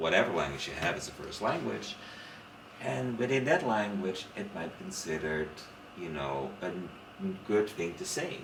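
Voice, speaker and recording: Amid audible room echo and noticeable background noise, a man with a Dutch accent and a very deep, low voice speaks at a moderate pace with lively intonation and long, frequent pauses. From Netherlands, Rotterdam. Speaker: literature scholar. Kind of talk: casual chat. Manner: animated.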